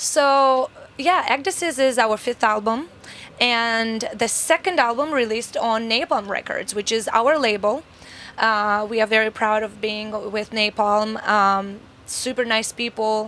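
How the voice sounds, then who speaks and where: A woman's tone comes across as bright and sharp. She speaks fairly slowly at a fairly high pitch. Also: ordinary pitch variation. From Moldova. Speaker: metal band singer. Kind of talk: interview.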